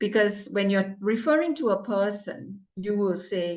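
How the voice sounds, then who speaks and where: A woman with a non-native accent, medium pitch, ordinary pitch variation and a very slow pace. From Malaysia, Johor Bahru. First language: not English. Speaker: club evaluator. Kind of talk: meeting evaluation. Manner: stern, emphatic.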